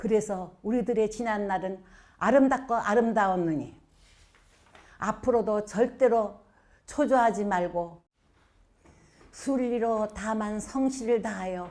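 A woman speaks at a very slow pace with long, frequent pauses. Her pitch is fairly high, with ordinary variation. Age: 80s+. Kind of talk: poetry reading.

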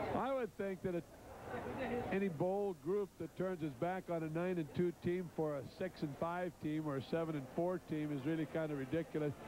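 There is noticeable background noise, though the sound is dry with no echo. A man speaks at a moderate pace, high-pitched, with ordinary pitch variation. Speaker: college football head coach. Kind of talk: interview; interview answer. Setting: stadium sideline. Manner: emotional. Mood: calm, proud of player.

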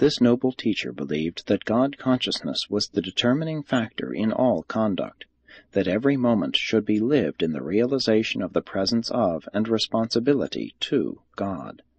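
A man in a normal speaking voice at medium pitch, moderate pace and lively intonation, with hardly any pauses. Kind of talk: audiobook reading of a religious text. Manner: formal, measured; even, solemn narration.

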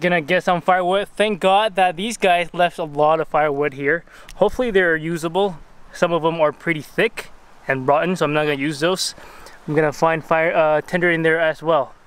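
In a dry sound with no echo, a man talks at a fairly quick pace in a high pitch with fairly even intonation. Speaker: solo camper vlogger. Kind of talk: casual vlog chat. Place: forest. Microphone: phone near.

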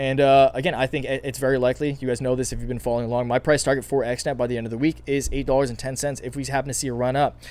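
Raspy and strained, a man rushes at a very fast pace with few pauses, keeping a medium pitch, little pitch movement and a slightly mellow tone.

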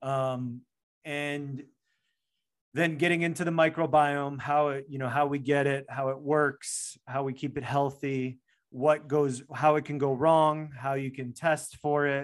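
A man with an American accent, fairly slow and monotone with flat intonation, against a quiet background. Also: fairly high pitch for a man. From US, Chicago. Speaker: functional medicine doctor; podcast guest. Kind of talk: interview. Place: home room. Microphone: studio mic.

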